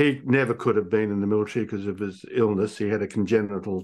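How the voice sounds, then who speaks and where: A man with an Australian accent, fairly low in pitch, talking at a very fast pace against a quiet background. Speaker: executive coach. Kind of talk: interview.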